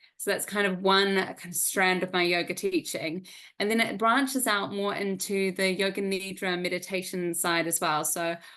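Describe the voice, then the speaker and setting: Against a quiet background, a woman with a New Zealand accent speaks at a moderate pace in a bright, sharp tone with fairly even intonation. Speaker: yoga teacher. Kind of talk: interview.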